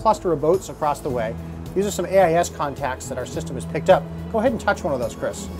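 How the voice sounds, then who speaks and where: The speech moves at a very fast pace. Clear music plays in the background. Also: man. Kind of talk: product demonstration. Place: boat.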